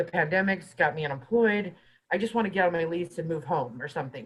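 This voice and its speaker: A woman speaks at a fairly low pitch with ordinary pitch variation. Her voice is somewhat breathy. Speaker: housing mediator at a guest organization. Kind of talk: webinar presentation. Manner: fast.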